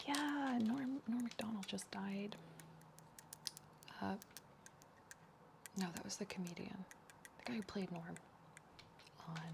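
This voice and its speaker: A soft-spoken woman's medium-pitched voice, fairly slow with long, frequent pauses and lively intonation, over noticeable background noise. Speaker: ASMR streamer. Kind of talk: casual livestream talk to chat.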